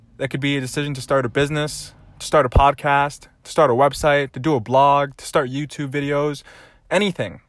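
A man talks at a fairly quick pace in a fairly high pitch, with an upbeat, animated tone. The recording is very clean, with a silent background. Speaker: podcast host. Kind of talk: solo motivational monologue. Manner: upbeat, animated, motivational.

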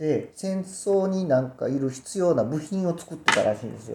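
In a Kobe accent, a man speaks at a high pitch and a moderate pace, with very wide pitch swings. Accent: Kansai (Kobe) dialect. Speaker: radio co-host and family tailor shop owner. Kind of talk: casual chat.

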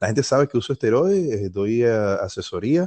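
A man with a Venezuelan accent speaks in a dark, mellow tone, recorded dry and close with no echo. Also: quiet background. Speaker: fitness YouTuber. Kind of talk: casual chat.

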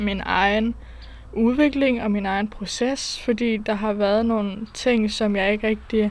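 Her pitch fairly high, a woman speaks at a fairly slow pace with monotone, flat intonation. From Denmark, small town. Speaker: solo podcast host. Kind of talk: casual solo monologue. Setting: outdoors. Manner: halting, many fillers.

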